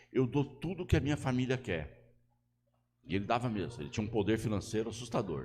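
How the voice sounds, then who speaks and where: Talking at a fairly quick pace, a man with a medium pitch uses lively intonation and some vocal fry. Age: 60s. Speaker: pastor. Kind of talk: sermon.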